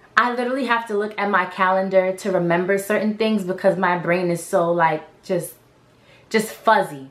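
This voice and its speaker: There is noticeable background noise behind this woman. Her intonation is fairly even. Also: medium pitch for a woman, moderate pace. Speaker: vlogger. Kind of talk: casual chat. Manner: halting.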